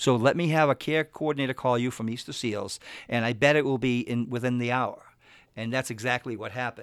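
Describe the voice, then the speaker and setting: In an American accent, a man speaks at a medium pitch and a very fast pace on a very clean recording with a silent background. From Massachusetts, Boston area. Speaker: investment advisor. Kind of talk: radio interview. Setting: radio studio.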